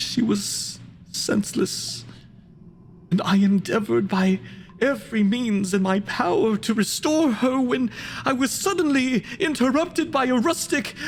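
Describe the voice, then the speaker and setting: In a put-on character voice with a fairly high pitch, the speech goes at a moderate pace over clear background noise. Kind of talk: dramatic monologue performance.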